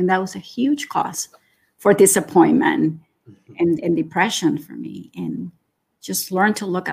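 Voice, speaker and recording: A woman's fairly low voice with vocal fry. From Nicaragua. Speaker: gratitude coach. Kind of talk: casual interview. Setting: remote call.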